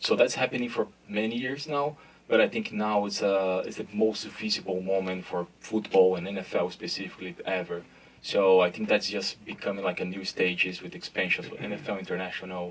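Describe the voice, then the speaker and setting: Noticeable background noise sits behind a man with a Brazilian Portuguese accent. He speaks fairly quickly at a fairly low pitch with ordinary pitch variation. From Brazil, São Paulo. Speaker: sports brand marketing executive. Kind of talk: panel discussion. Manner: hesitant, many fillers.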